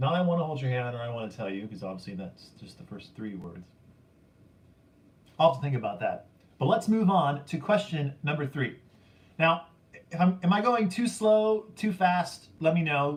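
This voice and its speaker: Shouting at a moderate pace, a man with a fairly high pitch makes very wide pitch swings and leaves long, frequent pauses. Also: big swings in loudness. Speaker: YouTube vinyl collector channel host running trivia contest. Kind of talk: livestream trivia quiz chat. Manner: loud, slightly yelling.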